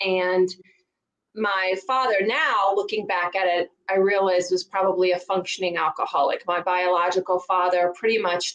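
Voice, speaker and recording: The voice has a Southern US accent. The pace is moderate. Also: woman. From rural Virginia, US South. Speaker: divorce coach. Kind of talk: interview.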